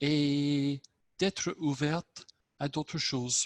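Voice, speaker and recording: A man's fairly high voice with an English accent at a very slow pace, on a very clean recording with a silent background. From southern England. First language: English (speaking French). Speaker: club member. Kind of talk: impromptu speech.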